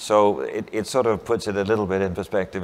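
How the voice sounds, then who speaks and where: Keeping his intonation fairly even, a man talks at a moderate pace. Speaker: shipping industry chairman, former seafarer; panellist. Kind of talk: panel discussion. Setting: stage with audience. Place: hall.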